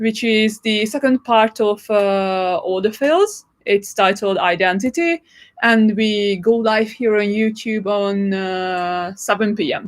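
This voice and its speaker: In a Hungarian accent, a woman talks at a very slow pace with a fairly high pitch and ordinary pitch variation. The recording is very clean, with a silent background. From Hungary. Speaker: actress. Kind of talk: live stream chat. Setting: live stream from London.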